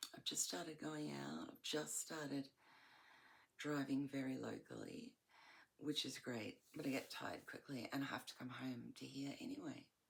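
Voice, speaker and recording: A fairly slow pace with long, frequent pauses, in an Australian accent. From Australia, Melbourne. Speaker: vlogger. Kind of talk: casual monologue. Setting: at home in bedroom. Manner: halting, searching for words.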